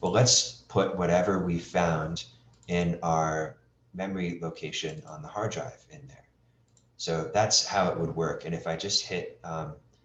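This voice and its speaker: There is audible room echo as a man with a very deep, low pitch talks at a fairly slow pace. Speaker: webinar instructor. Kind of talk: tutorial.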